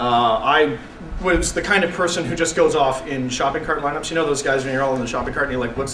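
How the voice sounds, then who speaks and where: A man with a Canadian accent talks at a very fast pace. Noticeable background noise and audible room echo surround him. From Canada, Vancouver BC. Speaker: internet radio host. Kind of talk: public talk to students. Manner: animated.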